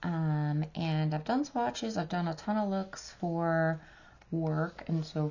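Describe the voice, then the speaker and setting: A woman's very deep, low voice with an American accent, at a very slow pace. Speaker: beauty vlogger. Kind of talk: makeup review and try-on tutorial. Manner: casual, filler-heavy.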